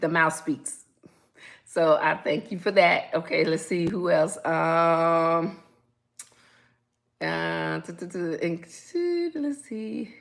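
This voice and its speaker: A woman's voice with a bright, sharp tone shows big swings in loudness. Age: 60s. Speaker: relationship advice host. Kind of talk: live stream talk. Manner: casual, laughs a lot.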